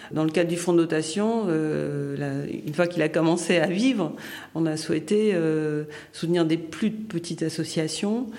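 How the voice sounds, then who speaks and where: A woman talks in a fairly low pitch with ordinary pitch variation at a fairly slow pace. Room echo is audible. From Haiti. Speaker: philanthropist, former finance professional. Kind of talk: interview testimony. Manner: halting with hesitations.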